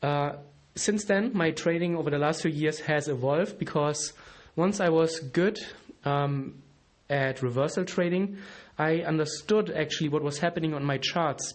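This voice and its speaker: A man's fairly high voice with a German accent, ordinary pitch variation, very even loudness and a moderate pace. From Germany. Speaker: trading educator, podcast host. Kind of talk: solo podcast monologue. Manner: casual, with fillers and restarts.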